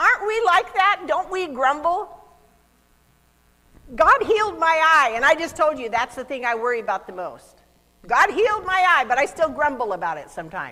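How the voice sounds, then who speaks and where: Projecting a raised voice at a high pitch, a woman speaks at a moderate pace with very wide pitch swings and big swings in loudness. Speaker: youth pastor. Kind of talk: children's sermon with object lesson. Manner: animated.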